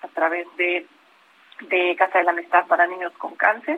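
A woman talks in a normal speaking voice at medium pitch. Her pace is moderate. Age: 50s. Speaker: open-water swimmer and lawyer. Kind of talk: radio interview.

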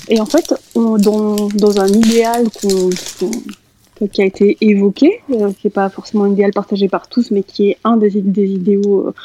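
At a fairly slow pace, the voice has a dark, mellow tone and ordinary pitch variation in a dry, close sound with no echo. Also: woman. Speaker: guest speaker. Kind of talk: group discussion.

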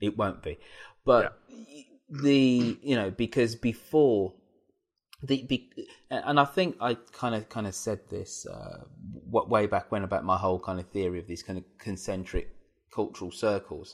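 In an English accent, a man speaks at medium pitch and a fairly slow pace with ordinary pitch variation and big swings in loudness. The recording is very clean with a silent background. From England. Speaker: podcast host. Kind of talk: casual discussion.

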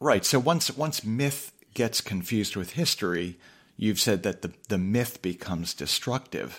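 In a very clean recording with a silent background, a man with an unremarkable speaking voice talks at a fairly slow pace, fairly low in pitch, with lively intonation. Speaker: podcast host and political strategist. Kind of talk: casual interview conversation.

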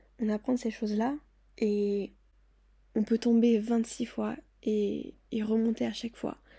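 A woman speaks very slowly with long, frequent pauses, her voice somewhat breathy with a dark, mellow tone, fairly high in pitch and monotone and flat in intonation. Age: 20s. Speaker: podcast host. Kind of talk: personal monologue.

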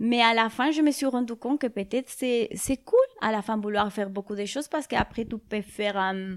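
A woman with a Spanish accent speaks at a moderate pace and a fairly high pitch, with ordinary pitch variation. The recording is very clean with a silent background, and the sound is dry and close with no echo. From Spain (Madrid). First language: Spanish (speaking French). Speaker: musician. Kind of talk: interview. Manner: halting; calm.

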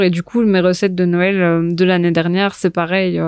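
On a very clean recording with a silent background, a woman speaks at a moderate pace in a monotone, flat intonation. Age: 20s. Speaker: food and film influencer, journalism student. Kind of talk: casual chat.

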